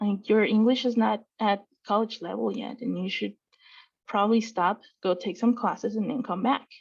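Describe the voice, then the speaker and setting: Vocal fry marks this woman's fairly high-pitched voice, which shows ordinary pitch variation. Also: moderate pace, quiet background. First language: Spanish. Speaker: student affairs staff member, panelist. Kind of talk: panel discussion. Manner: hesitant, many fillers.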